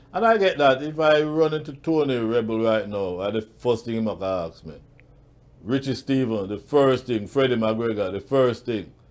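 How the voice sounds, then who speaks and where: A man with an unremarkable speaking voice and medium pitch talks at a moderate pace with lively intonation. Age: 60s. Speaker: awards show founder. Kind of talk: interview.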